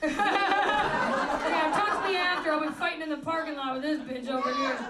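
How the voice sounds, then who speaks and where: A woman raises and projects her high voice at a moderate pace with ordinary pitch variation. Room echo is audible, and crowd noise fills the background. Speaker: comedian. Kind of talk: live comedy podcast interview. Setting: stage with audience. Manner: loud; animated.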